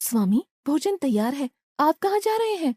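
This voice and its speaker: At a moderate pace, a female-sounding voice does a cartoonish character at a high pitch with very wide pitch swings. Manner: warm, gentle.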